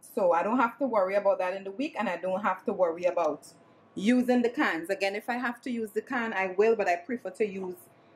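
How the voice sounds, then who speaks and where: This woman's very fast speech comes with noticeable background noise. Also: medium pitch for a woman, ordinary pitch variation. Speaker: vlogger. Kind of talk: casual vlog.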